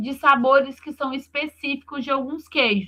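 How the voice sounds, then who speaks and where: In a raised, projected voice, a woman speaks with a high pitch and a bright, sharp tone. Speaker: university lecturer. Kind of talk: online lecture.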